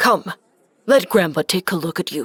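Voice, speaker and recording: In a cartoonish character voice, a man sounds stern and raspy, his pitch high for a man. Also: dry, close sound with no echo. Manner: stern, terse.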